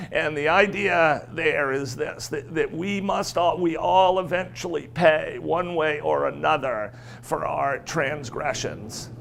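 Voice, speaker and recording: A man at a very slow pace with hardly any pauses, over noticeable background noise. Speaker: business executive. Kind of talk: keynote speech.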